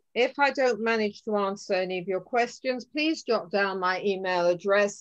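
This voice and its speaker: Against a quiet background, a woman talks with lively intonation. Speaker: tour guide giving a talk. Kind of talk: lecture. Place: home room. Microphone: video call.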